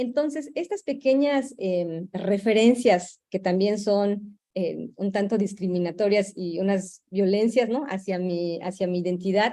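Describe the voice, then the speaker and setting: A woman with a Yucatecan accent speaks at medium pitch in a dark, mellow tone. Her pace is fairly slow, with hardly any pauses and ordinary pitch variation. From Yucatán peninsula, Mexico. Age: young. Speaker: Maya youth cultural activist. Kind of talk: panel discussion. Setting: virtual broadcast. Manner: halting, with fillers and repetitions.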